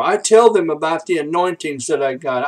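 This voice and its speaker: Here a man speaks at a high pitch. His pitch varies in an ordinary way. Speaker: minister. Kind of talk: preaching ministry update vlog. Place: home room. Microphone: webcam.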